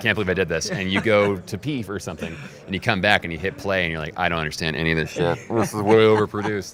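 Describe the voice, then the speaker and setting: A man with an American accent speaks at a very fast pace with a very deep, low pitch and ordinary pitch variation. Noticeable background noise runs underneath. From United States. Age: 30s. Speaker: radio imaging producer and voice. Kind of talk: interview answer.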